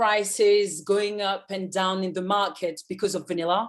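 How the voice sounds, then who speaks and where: In a French accent, a woman talks at a medium pitch. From France. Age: 30s. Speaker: journalist. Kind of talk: interview. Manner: halting.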